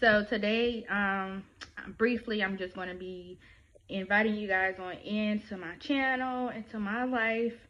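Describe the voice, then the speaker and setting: Speaking very slowly in a Louisiana accent, a woman has a fairly high pitch with ordinary pitch variation. Her loudness swings a lot. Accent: Southern US, Louisiana. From Louisiana, Baton Rouge. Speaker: YouTuber; new YouTuber. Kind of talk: vlog introduction; casual vlog chat. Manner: casual, hesitant with fillers. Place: home room. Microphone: phone near.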